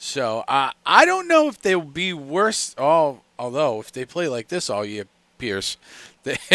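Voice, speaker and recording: A fairly high male voice, a normal speaking voice, with lively intonation, a fairly slow pace and a dry, close sound free of echo. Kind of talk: live sports play-by-play commentary and reaction stream. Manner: casual, conversational, reactive.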